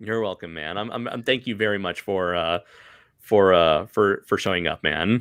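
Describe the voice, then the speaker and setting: A man with a fairly low pitch, ordinary pitch variation and a moderate pace. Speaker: comic creator and artist. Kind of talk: casual interview Q&A on a livestream. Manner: halting, many repeated words and fillers.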